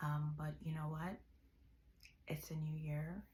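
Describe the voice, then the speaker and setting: The speech comes at a fairly slow pace in a relaxed tone, with audible room echo. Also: woman. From Jamaica. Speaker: vlogger. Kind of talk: casual vlog monologue. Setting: bedroom. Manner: relaxed, hesitant with fillers.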